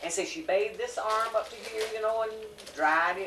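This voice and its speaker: With a Southern US accent, a woman speaks at a fairly high pitch and a very fast pace. There is audible room echo and noticeable background noise. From US South. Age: 70s. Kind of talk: casual chat.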